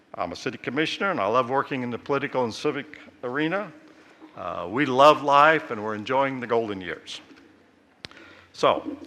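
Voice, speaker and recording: Through noticeable background noise, a man with a fairly high pitch and lively intonation speaks with long, frequent pauses. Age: 70s. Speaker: retired airline pilot and city commissioner. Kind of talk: commencement-style speech. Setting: college convocation in an arena with audience.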